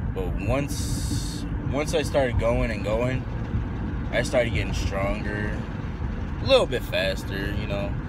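A man speaks with long, frequent pauses. The sound is dry with no echo, but there is loud background noise. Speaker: vlogger. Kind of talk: casual vlog chat. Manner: slow, drowsy, low-energy talk. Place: car. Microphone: phone near.

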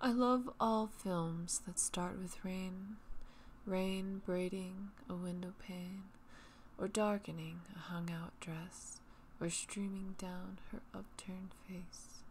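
A woman's soothing, somewhat breathy voice at a very slow pace, with fairly even intonation. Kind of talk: poetry reading. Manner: soothing, relaxing.

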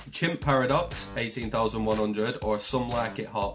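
Music plays clearly behind the speaker. A man talks at a fairly quick pace. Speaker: gaming streamer. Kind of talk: casual gameplay commentary. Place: home room.

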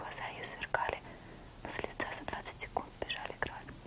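Whispering, a woman talks at a fairly quick pace. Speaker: ASMR creator. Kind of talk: whispered audiobook-style literary reading. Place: home room. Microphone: lapel.

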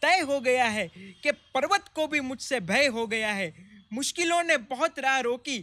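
A man speaks in a raised, projected voice. His tone is bright and sharp, with lively intonation. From Gujarat, India. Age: young. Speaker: comedian. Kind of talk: interview storytelling. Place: garden. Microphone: studio mic.

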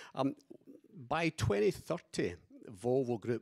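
A man with a Scottish accent speaks at a fairly slow pace and a medium pitch. His pitch varies in an ordinary way against a quiet background. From Scotland. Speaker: company executive; panelist. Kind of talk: panel discussion. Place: hall. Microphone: handheld.

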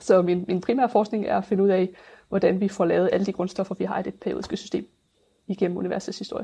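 Talking at a very fast pace, a woman uses a medium pitch with a dark, mellow tone, vocal fry and fairly even intonation. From Denmark, Funen (near Nyborg). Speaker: astrophysics researcher. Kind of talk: interview. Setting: video call. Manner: halting.

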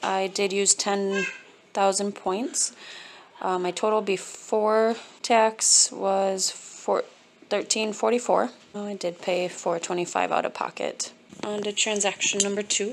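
Over noticeable background noise, a woman speaks at a fairly slow pace in a flat monotone, with long and frequent pauses. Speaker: couponer. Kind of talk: casual shopping haul talk to camera. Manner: monotone, flat. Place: kitchen. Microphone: phone near.

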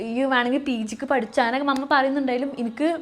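A woman's high-pitched voice. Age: 20s. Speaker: YouTuber and aviation student. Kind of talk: casual vlog monologue.

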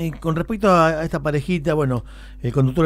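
At a moderate pace, a man talks in a plain, everyday voice that is fairly high in pitch. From Argentina (Santa Fe province). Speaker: local radio news host. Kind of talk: morning radio news show. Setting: radio studio. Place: studio. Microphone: studio mic.

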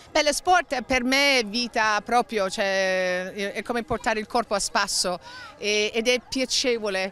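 With a non-native accent, a woman talks with ordinary pitch variation in a dry recording that has no echo. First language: not Italian (speaking Italian). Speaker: fitness instructor; fitness instructor at charity event. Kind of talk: interview. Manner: halting. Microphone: handheld.

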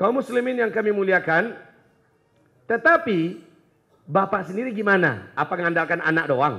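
A man speaks in a high, raised and projected voice with lively intonation and an animated tone. Long, frequent pauses break his speech against a quiet background. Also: moderate pace. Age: 40s. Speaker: Islamic preacher. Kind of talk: sermon. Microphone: handheld.

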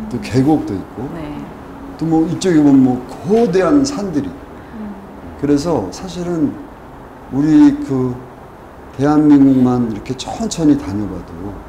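Speaking very slowly with long, frequent pauses, a man swings widely in loudness over light background noise, with audible room echo. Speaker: guest. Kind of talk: talk show conversation. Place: studio. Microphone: lapel.

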